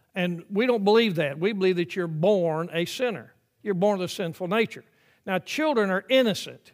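An American accent at a moderate pace, with ordinary pitch variation. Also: man, high pitch for a man. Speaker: pastor. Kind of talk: sermon. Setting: church.

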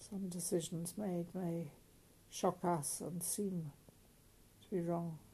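Very slow and broken by long, frequent pauses, a woman with a British accent speaks at a fairly low pitch in a somewhat breathy, dark, mellow tone with monotone, flat intonation. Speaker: prayer leader. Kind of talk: fervent intercessory prayer, led aloud. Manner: earnest, solemn, imploring.

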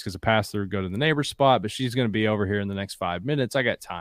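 A man with an Appalachian accent, medium-pitched, at a very fast pace with ordinary pitch variation. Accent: Appalachian Kentucky. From southeastern Kentucky (Appalachia, Bell County). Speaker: outdoor company founder and hunter. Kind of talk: casual chat.

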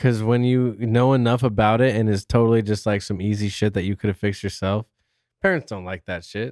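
Heard in a very clean, dry, close recording with a silent background and no echo, a man uses a plain, everyday voice with a fairly low pitch, fairly even intonation and a fairly quick pace. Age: 30s. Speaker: podcast guest, fantasy football podcaster. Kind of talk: casual chat.

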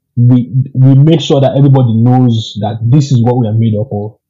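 Somewhat breathy, a man's medium-pitched voice moves with ordinary pitch variation. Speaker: guest data analyst. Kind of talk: casual interview chat.

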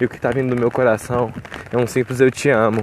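Noticeable background noise sits under a man speaking at medium pitch with monotone, flat intonation. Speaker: podcaster. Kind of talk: casual monologue. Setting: outdoors in rain. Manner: rambling.

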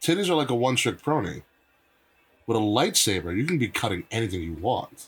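The voice is somewhat breathy and shows very wide pitch swings. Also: man, medium pitch for a man, fairly quick pace. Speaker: wrestling podcast host. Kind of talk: casual chat. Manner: animated.

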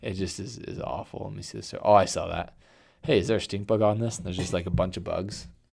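Vocal fry at a very fast pace, with big swings in loudness. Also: man, ordinary pitch variation. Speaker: podcast host, pest control. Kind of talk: casual chat, podcast. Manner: casual, joking.

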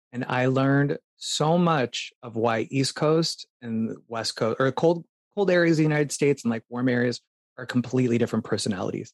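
A man's plain, everyday voice with an American accent, medium pitch with ordinary variation, at a moderate pace, in a dry, close recording with no echo. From Phoenix, Arizona. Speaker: dancer and performer. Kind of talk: interview.

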